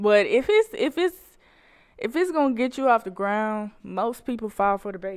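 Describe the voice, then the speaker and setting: A woman with fairly high pitch speaks at a moderate pace with lively intonation, on a very clean recording with a silent background. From Macon, Georgia. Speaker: musician. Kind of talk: casual interview. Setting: studio.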